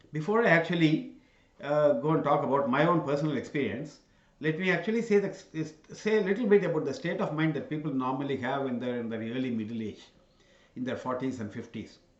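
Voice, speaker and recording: In a room with audible echo, a man talks at a very fast pace with lively intonation and a fairly high pitch. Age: 60s. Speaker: channel host giving talks. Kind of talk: solo talk to camera. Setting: in front of cameras. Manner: halting, many fillers.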